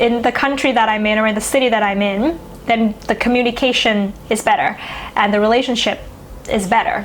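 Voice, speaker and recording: Against noticeable background noise, a woman with a Thai accent talks at a moderate pace in a fairly high pitch, with ordinary pitch variation and very even loudness. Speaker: astrology YouTuber. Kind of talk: casual educational monologue. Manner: conversational, with fillers.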